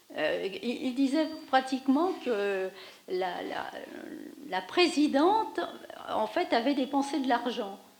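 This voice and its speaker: A woman at a high pitch with very wide pitch swings, a very slow pace and long, frequent pauses, over noticeable background noise. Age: 60s. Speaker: audience member. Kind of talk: post-screening discussion. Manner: halting.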